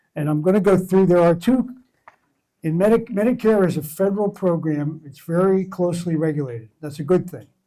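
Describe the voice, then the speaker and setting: A man with an American accent speaks at a fairly quick pace in a high voice for a man, his tone dark and mellow. His loudness swings widely while his pitch varies in an ordinary way. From Philadelphia area, Pennsylvania. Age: 70s. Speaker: Medicare agent. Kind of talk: presentation to community group. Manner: halting.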